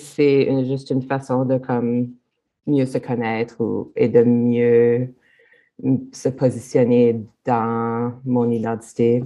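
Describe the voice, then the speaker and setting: Against a quiet background, a woman speaks very slowly with long, frequent pauses. Her pitch is very deep and low, her tone dark and mellow. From Manitoba. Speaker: multidisciplinary artist. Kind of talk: casual interview.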